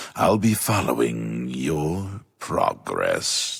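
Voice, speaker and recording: A man puts on a character voice, very deep and low in pitch. He speaks at a very slow pace in a solemn tone. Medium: video game. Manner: slow, solemn.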